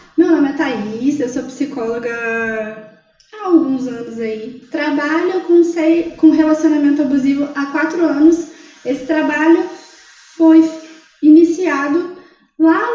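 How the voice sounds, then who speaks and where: A woman with a high voice and ordinary pitch variation speaks with long, frequent pauses and big swings in loudness, amid audible room echo. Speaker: psychologist. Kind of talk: casual chat.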